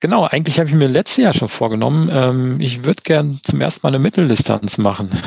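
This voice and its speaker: Against noticeable background noise, a man talks very fast with very wide pitch swings and very even loudness. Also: medium pitch for a man, hardly any pauses. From Hesse, Germany (Eschborn near Frankfurt). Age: 40s. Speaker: amateur triathlete. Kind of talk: casual interview.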